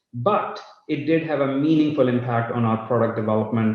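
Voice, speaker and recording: In a room with audible echo, a somewhat breathy voice moves at a moderate pace with lively intonation. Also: man. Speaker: company CEO. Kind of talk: live company update. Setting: live online session.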